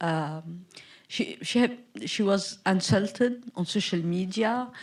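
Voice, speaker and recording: A woman is speaking. Her pace is very slow. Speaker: film director. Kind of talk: Q&A after screening. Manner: halting.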